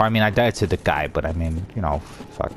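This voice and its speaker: Over noticeable background noise, a man speaks quietly and fairly quickly in a very deep, low pitch with ordinary pitch variation. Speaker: gaming YouTuber. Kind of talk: gameplay commentary. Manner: halting.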